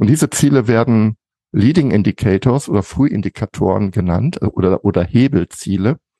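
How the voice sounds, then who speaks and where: A man with fairly low pitch and a dark, mellow tone speaks at a moderate pace with lively intonation and very even loudness, in a dry, close sound with no echo. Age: 50s. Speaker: management consultant. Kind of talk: interview.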